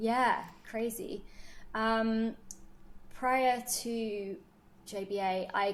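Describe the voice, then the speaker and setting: Speaking in a British accent, a woman with a fairly high pitch and fairly even intonation goes at a very slow pace, leaving long, frequent pauses. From United Kingdom. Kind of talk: podcast interview.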